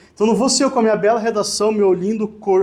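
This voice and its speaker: A high-pitched man talks with ordinary pitch variation in audible room echo. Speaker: lawyer. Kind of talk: lecture. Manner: casual, conversational.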